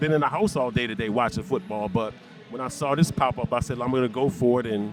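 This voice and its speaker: A man talking very fast with lively intonation amid noticeable background noise. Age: 60s. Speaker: widower. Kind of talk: street interview answer.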